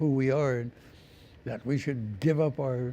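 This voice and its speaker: The man's tone is dark and mellow. He talks at a moderate pace with ordinary pitch variation. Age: 80s+. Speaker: First Nations elder. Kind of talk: interview.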